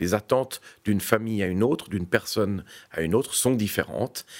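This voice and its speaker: Recorded very cleanly against a silent background, a man speaks at a moderate pace with a fairly low pitch. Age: 50s. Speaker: real estate executive. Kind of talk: interview. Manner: formal.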